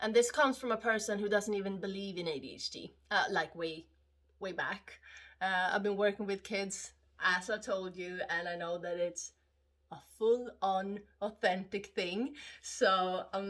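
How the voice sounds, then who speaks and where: With a Swedish accent, a woman talks at a moderate pace with ordinary pitch variation. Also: medium pitch for a woman. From Sweden. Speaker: vlogger. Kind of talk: casual monologue vlog. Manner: halting, many fillers.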